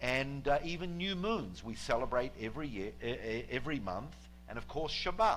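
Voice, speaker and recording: A man speaks in a New Zealand accent at a moderate pace. Audible room echo fills the recording. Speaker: guest preacher. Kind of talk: sermon. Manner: halting, many fillers.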